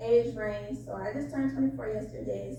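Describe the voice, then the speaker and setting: Over noticeable background noise and audible room echo, a woman talks with an American accent. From Florida (Jacksonville). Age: 20s. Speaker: caller on dating show. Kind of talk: casual call-in chat.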